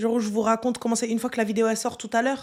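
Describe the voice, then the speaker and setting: A woman speaks loudly. Her tone is animated. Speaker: online streamer. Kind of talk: live stream chat reading comments. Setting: live stream.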